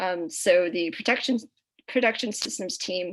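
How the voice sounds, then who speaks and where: A woman speaks at medium pitch. Her pace is moderate. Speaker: student rocket team member. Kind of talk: presentation. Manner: halting, many fillers.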